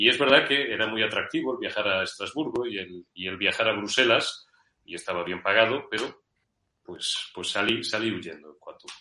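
A man speaks at a moderate pace in a fairly low voice with a bright, sharp tone, ordinary pitch variation and big swings in loudness. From Spain, Madrid with Zamora family roots. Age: 50s. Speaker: journalist. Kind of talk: interview.

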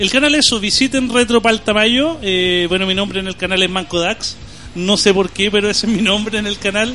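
A man's raised, projected voice, high in pitch, with a Chilean accent, at a fairly quick pace with ordinary pitch variation, over noticeable background noise. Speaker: YouTuber. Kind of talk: casual chat. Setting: studio.

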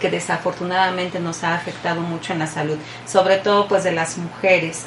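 Through noticeable background noise and audible room echo, a woman with a fairly low pitch talks at a fairly quick pace in a monotone, flat intonation. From Mexico. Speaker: radio host. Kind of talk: radio interview.

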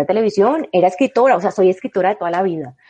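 A normal speaking voice from a woman, pitched in the medium range, its pitch varying in an ordinary way. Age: 40s. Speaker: novelist. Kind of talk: interview.

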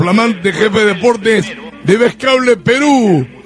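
With an animated tone and high pitch, a man speaks at a moderate pace amid noticeable background noise. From Peru, Lima. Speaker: sports radio host. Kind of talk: sports radio show.

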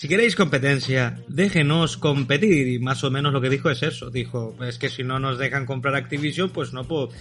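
A man's unremarkable speaking voice, fairly quick with hardly any pauses and ordinary pitch variation. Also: medium pitch for a man. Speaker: podcast host. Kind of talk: casual chat.

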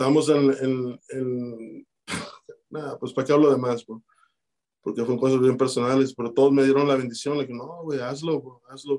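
A man's dark, mellow, flat monotone with big swings in loudness. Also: medium pitch for a man, moderate pace. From Chicago, Mexican-born. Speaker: rapper. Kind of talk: casual interview.

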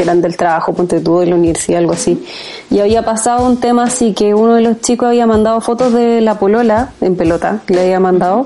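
A woman with a Chilean accent talks at a fairly quick pace and a fairly high pitch, with ordinary pitch variation and noticeable background noise. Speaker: podcast co-host. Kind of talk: casual chat.

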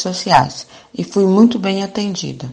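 Speaking at a very slow pace, a woman has a bright, sharp tone. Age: 50s. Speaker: homemaker and mother.

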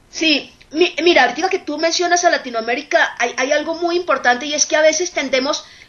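Noticeable background noise sits under a fairly quick pace with ordinary pitch variation. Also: woman. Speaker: nursing professor and researcher. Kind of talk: radio interview.

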